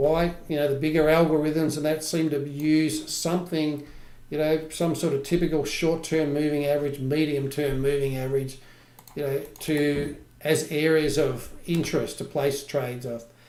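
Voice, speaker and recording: A fairly high-pitched man at a moderate pace, monotone and flat in intonation, with audible room echo. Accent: Australian. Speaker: trading educator. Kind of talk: live trading tutorial. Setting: livestream.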